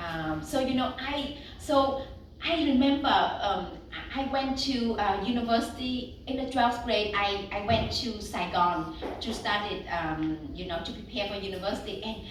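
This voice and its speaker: A woman speaks at a fairly high pitch with lively intonation. The recording carries audible room echo and noticeable background noise. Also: moderate pace. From Vietnam, north then south (Bạc Liêu). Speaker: novelist. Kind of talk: book talk Q&A. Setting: bookstore event with audience.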